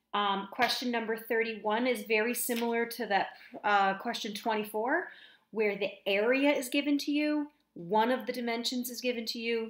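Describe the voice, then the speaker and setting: A woman speaks with an ordinary speaking voice at a fairly high pitch. Her pitch variation is ordinary. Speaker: math teacher. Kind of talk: tutorial.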